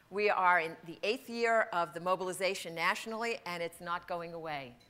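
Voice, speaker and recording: With ordinary pitch variation, this woman's voice has a bright, sharp tone. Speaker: conference speaker. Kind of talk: lecture. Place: hall. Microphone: podium.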